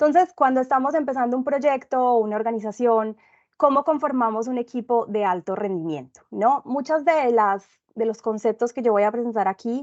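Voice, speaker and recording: A woman's high-pitched voice with a Medellín Colombian accent, a moderate pace, and ordinary pitch variation. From Colombia, Medellín. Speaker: consultant and instructor in project management. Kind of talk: webinar presentation.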